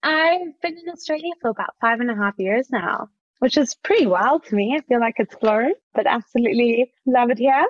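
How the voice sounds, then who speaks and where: Speaking at a moderate pace, a woman with a South African accent has a high pitch and lively intonation. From South Africa, Johannesburg. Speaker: startup founder. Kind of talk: podcast interview.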